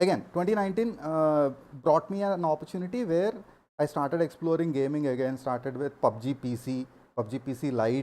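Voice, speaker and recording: A man with an Indian accent talks at a fairly quick pace and fairly high pitch. His tone is dark and mellow, and his intonation is lively. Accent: Indian English, Telugu. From India, Andhra Pradesh. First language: Telugu. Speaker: gaming streamer. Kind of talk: live stream talk.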